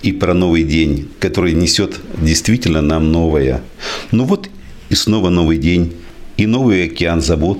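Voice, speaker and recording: Over noticeable background noise and audible room echo, a man talks at a fairly slow pace in a very deep, low pitch. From Izhevsk, Udmurtia, Russia. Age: 60s. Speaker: doctor and poet. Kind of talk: poetry reading; speech at book presentation. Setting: library event with audience.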